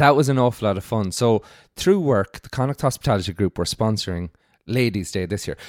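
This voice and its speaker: A man with a western Irish accent speaks at a fairly quick pace and a medium pitch, with lively intonation and big swings in loudness. The recording is very clean, with a silent background. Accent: Irish (west of Ireland). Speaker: hospitality industry worker. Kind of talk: casual chat.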